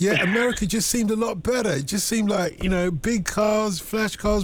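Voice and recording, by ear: Here a man speaks at a high pitch at a moderate pace. His pitch varies in an ordinary way.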